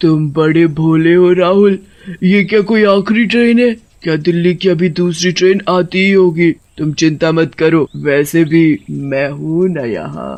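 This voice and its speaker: A man's cartoonish character voice, high-pitched for a man, at a fairly slow pace. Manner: cackling.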